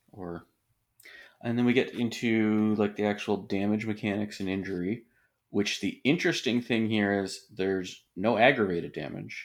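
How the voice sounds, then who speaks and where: A man speaks in a fairly low voice at a moderate pace, with ordinary pitch variation and an unremarkable speaking voice. The recording is very clean, with a silent background. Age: 40s. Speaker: podcast host. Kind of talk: casual chat.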